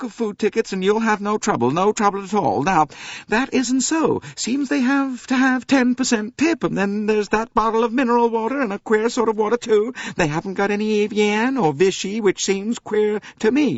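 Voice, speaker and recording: A shrill, put-on character voice runs at a moderate pace with hardly any pauses. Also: man. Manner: plaintive, complaining.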